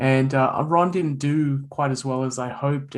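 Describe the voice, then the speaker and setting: A man speaks with an Australian accent. His intonation is fairly even. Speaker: author and bitcoin writer. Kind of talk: podcast interview. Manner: repeats words, halting starts.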